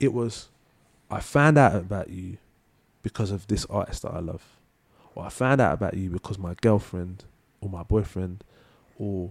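A man with a London accent, fairly low pitch, big swings in loudness and long, frequent pauses at a moderate pace. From London, Leytonstone. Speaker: singer-songwriter. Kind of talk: casual chat. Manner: halting.

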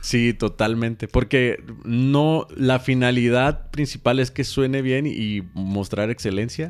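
A man speaks very slowly with a Mexican accent, his pitch medium for a man. There are hardly any pauses, and his pitch varies in an ordinary way. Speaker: podcast co-host and church musician. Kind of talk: casual chat.

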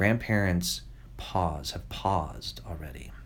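A man with an American accent speaks at a very deep, low pitch, his intonation lively and his voice showing vocal fry, with audible room echo around him. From New York, US. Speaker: children's novelist. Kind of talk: interview. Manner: halting, many repetitions.

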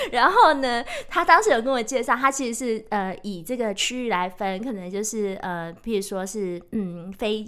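A woman talks at a moderate pace with hardly any pauses, in an ordinary speaking voice. Her pitch is fairly high and her intonation lively. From Taiwan, Taichung. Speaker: author and sustainability professional. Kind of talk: casual chat. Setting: studio.

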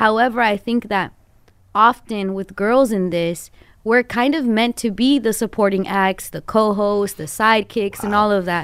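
In an unremarkable speaking voice, a woman with an American accent talks at a moderate pace and fairly high pitch, with ordinary pitch variation, on a very clean recording with a silent background. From Los Angeles (Glendale). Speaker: morning radio host. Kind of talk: long-form interview.

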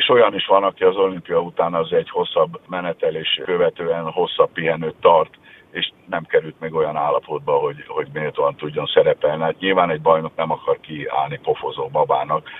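Amid noticeable background noise, a man talks at a moderate pace with hardly any pauses. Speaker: national swimming coach. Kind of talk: radio interview.

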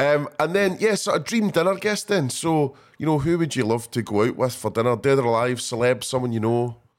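In a very clean recording with a silent background, a man with a plain, everyday voice talks at a fairly quick pace in a fairly high pitch, with lively intonation and hardly any pauses. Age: 40s. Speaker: podcast host. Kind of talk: casual interview; scripted outro.

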